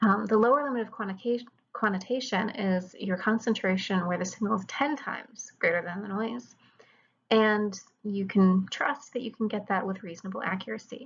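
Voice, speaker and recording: Somewhat breathy and fairly quick, a woman's fairly high voice moves with ordinary pitch variation. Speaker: chemistry lecturer. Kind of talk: lecture.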